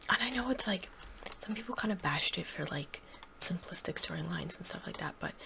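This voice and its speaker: Whispering at a fairly quick pace with long, frequent pauses, a voice comes through noticeable background noise. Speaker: ASMR gaming creator. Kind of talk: soft-spoken ASMR Q&A chat. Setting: gameplay recording. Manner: soft-spoken; halting, many fillers.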